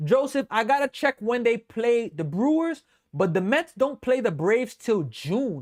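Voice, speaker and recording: A man with a New York accent, extremely high pitch, very wide pitch swings, an energetic tone and a fairly slow pace, on a very clean recording with a silent background. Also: dry, close sound with no echo. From New York City, the Bronx. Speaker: sports live streamer and baseball fan host. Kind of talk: live play-by-play commentary with chat. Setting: live stream. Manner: casual, energetic.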